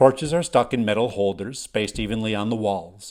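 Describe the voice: A voice reads aloud plainly, its pitch shifting in an ordinary way.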